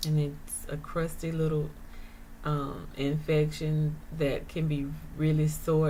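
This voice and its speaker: A woman speaks very slowly in a very deep, low voice that is dark, mellow and somewhat breathy. Her intonation is flat and monotone, with audible room echo. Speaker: vlogger sharing her chronic illness experience. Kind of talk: casual monologue vlog. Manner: hesitant, many fillers.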